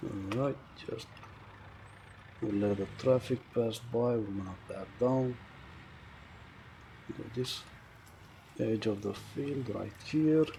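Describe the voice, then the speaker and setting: Mumbling at a very slow pace, a man with a medium pitch and ordinary pitch variation leaves long, frequent pauses. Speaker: gaming video creator. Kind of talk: gameplay commentary.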